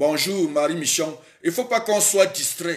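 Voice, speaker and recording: Over a quiet background, a man speaks at a moderate pace. His tone is animated. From Cameroon. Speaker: political livestreamer. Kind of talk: live stream monologue. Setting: live stream. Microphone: phone near.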